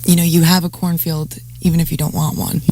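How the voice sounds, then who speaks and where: A woman's fairly low voice with an American accent and monotone, flat intonation, amid noticeable background noise. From New Jersey. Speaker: radio host. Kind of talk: radio interview host. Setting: radio studio.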